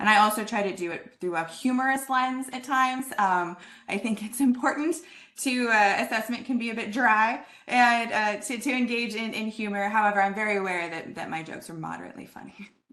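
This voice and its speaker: A woman speaks at a fairly high pitch and a fairly quick pace, her tone bright and sharp with ordinary pitch variation. Her loudness swings widely, and the room echo is audible. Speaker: assessment speaker with philosophy background. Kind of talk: lecture. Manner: fast; animated.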